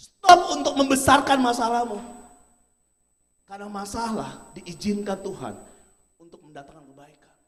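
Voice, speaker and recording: With an animated tone, a man speaks at an extremely high pitch and a fairly slow pace. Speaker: motivational speaker. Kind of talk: motivational seminar talk. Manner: animated, rhetorical.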